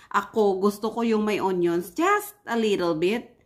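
A woman at a fairly slow pace, against a quiet background. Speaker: home cook vlogger. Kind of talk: casual cooking vlog chat. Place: kitchen. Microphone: phone near.

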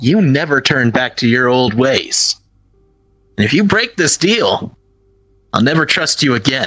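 A man puts on a character voice at a medium pitch, pausing long and often. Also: moderate pace. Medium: machinima. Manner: firm, encouraging, casual.

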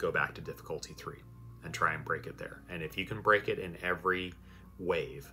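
A man speaks at a fairly quick pace, and his loudness swings a lot. Faint music sits in the background. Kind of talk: tutorial commentary. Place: home room.

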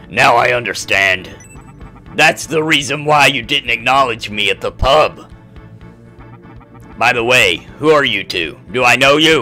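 A man's gruff, put-on character voice at a medium pitch and moderate pace, with faint music in the background.

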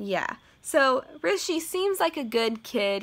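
A woman's bright, sharp voice with very wide pitch swings. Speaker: book vlogger. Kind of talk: casual vlog chat. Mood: animated, mildly annoyed. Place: home room. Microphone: phone near.

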